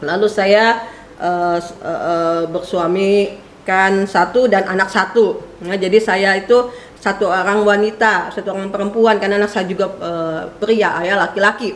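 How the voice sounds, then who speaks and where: A woman at a medium pitch and moderate pace, fairly even in intonation, amid noticeable background noise and audible room echo. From West Java, Purwakarta. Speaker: preacher, theology lecturer. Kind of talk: sermon introduction, casual chat with congregation. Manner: chatty, many fillers.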